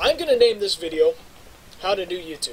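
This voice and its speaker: A man's moderately paced speech comes with noticeable background noise. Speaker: YouTuber. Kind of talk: casual vlog monologue while gaming. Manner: loud; rambling, halting with fillers.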